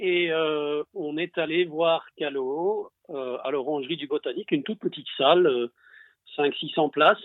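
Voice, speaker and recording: A man's unremarkable speaking voice, fairly high in pitch with ordinary variation, at a fairly slow pace. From Belgium. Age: 50s. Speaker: longtime fan. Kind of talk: casual chat.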